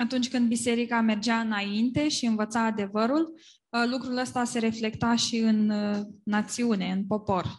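Somewhat breathy speech comes at a moderate pace with fairly even intonation against a quiet background. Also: woman, fairly high pitch for a woman. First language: Romanian. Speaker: interpreter. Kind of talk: consecutive interpretation. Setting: church with live English speaker.

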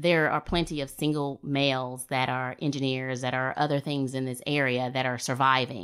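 A woman's very deep, low voice at a moderate pace, fairly even in intonation, on a very clean recording with a silent background. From US South, coastal Alabama. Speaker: military veteran and local planning board member. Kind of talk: casual discussion.

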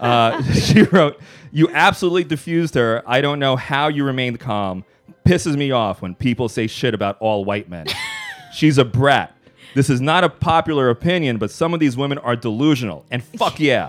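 Over noticeable background noise, a man with an American accent speaks at a moderate pace, his medium-pitched voice showing lively intonation. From New York City, South Bronx. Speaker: comedian and podcast host. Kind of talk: casual chat.

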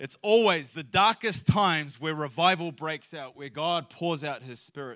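Recorded very cleanly against a silent background, a man speaks with a bright, sharp tone. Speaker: missionary. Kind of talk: sermon. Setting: church.

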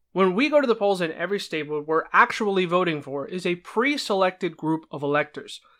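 In an American accent, a raised, projected voice with a bright, sharp tone moves at a fairly quick pace with big swings in loudness, recorded very cleanly over a silent background. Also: man. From New Jersey. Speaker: political podcast host. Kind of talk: solo explanatory podcast monologue.

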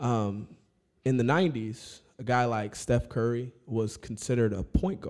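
A man with an unremarkable speaking voice, pitched in the middle range, varies his pitch in an ordinary way while talking fairly slowly. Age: 30s. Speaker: basketball coach. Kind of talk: casual chat. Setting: studio.

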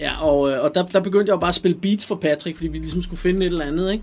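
A man speaks at a very fast pace with hardly any pauses. His pitch is high, with ordinary pitch variation. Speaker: rapper and producer. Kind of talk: interview.

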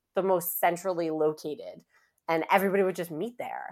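A woman with a New York accent, animated and enthusiastic, fairly low in pitch with ordinary pitch variation. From Queens, New York City. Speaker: advertising revenue executive. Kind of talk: casual interview chat. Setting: remote recording from home. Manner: animated, enthusiastic.

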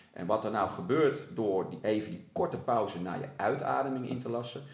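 A man speaks in an animated tone. Audible room echo and noticeable background noise are present. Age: 40s. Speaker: sports coach. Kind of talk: casual interview. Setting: at a table in the host's home.

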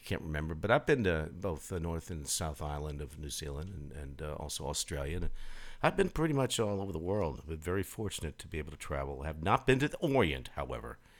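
Over a very clean, silent background, a man with a very deep, low voice and vocal fry talks at a very fast pace, with lively intonation and big swings in loudness. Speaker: internet radio host. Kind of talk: live radio DJ patter between songs. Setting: live internet radio broadcast. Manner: relaxed, friendly, easygoing; chatty, with frequent 'uh' and 'um' fillers.

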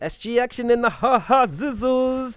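This is a very clean recording with a silent background. The voice belongs to a man. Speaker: podcast co-host and screenwriter. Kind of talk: casual chat. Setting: gym front desk. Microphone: poor audio.

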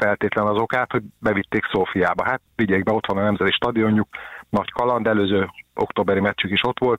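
With a plain, everyday voice, a man talks at a fairly quick pace in a fairly low pitch and fairly even intonation. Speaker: sports journalist. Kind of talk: casual chat.

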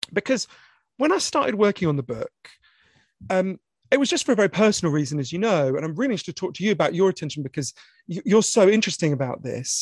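In a British accent, the speaker talks at a very fast pace with very wide pitch swings, yet leaves long, frequent pauses. The sound is dry and close with no echo, over a quiet background. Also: man. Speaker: author. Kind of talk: moderated author conversation. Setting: online event with audience Q&A. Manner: fast talker.

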